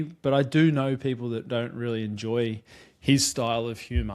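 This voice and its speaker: A man speaks with an Australian accent. The recording is very clean, the background silent. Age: 30s. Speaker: podcast host. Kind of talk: casual chat.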